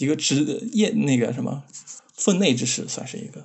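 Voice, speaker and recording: A man's voice with vocal fry, lively intonation and a moderate pace. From Xinjiang, China. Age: 20s. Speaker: game developer. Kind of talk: casual chat.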